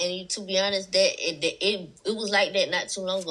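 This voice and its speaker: A woman speaks at a very fast pace in a strong Southern US accent. Her tone is bright and sharp, and her pitch is medium. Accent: thick Southern US. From South Carolina. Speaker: rapper. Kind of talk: interview.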